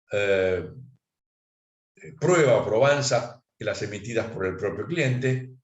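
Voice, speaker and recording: With audible room echo, a man talks very slowly at a medium pitch, his somewhat breathy voice carrying lively intonation and long, frequent pauses. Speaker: accountant giving a talk. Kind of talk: lecture.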